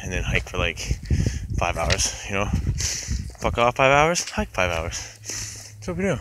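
A man speaks at a fairly slow pace over noticeable background noise. The sound is dry, with no echo. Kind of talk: casual vlog chat. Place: forest. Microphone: phone near.

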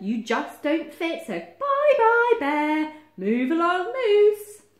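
A woman puts on a character voice at an extremely high pitch. She speaks slowly, her pitch swinging widely.

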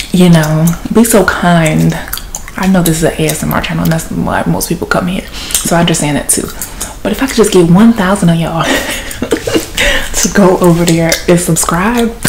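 A woman speaks at a moderate pace with noticeable background noise behind her. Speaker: ASMR channel host. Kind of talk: casual vlog chat. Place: home room. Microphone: phone near.

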